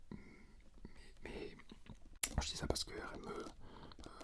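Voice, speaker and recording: A man whispers at a very slow pace. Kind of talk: ASMR unboxing and gear comparison, casual talk to camera. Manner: hesitant, rambling with many filler words.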